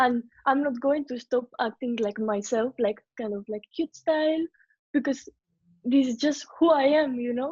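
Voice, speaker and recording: With a Spanish accent, a woman speaks at a high pitch and a moderate pace, her pitch varying in an ordinary way. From Venezuela / Spain. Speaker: K-pop group singer and dancer. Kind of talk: interview.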